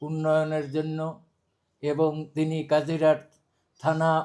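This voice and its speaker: The speaker is a man. His pitch is fairly high. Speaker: parliamentary candidate. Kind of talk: campaign speech.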